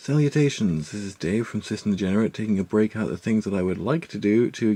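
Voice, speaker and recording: Soft-spoken, a man talks at a very fast pace in a fairly low voice with ordinary pitch variation. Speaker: musician giving music production tutorial. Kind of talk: tutorial. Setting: at home on a laptop. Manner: soft-spoken, talking quietly.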